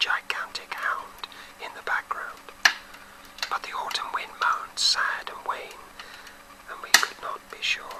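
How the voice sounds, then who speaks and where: There is noticeable background noise as a man whispers with a British accent. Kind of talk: audiobook-style short story reading. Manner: whispered.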